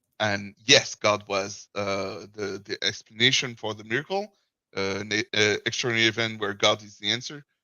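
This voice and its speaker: A man speaks with a French accent. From France. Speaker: caller. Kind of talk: casual chat. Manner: halting.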